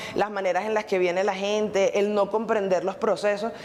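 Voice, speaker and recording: A woman with an unremarkable speaking voice, medium pitch and moderate pace. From Venezuela. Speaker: Venezuelan migrant. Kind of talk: interview testimony.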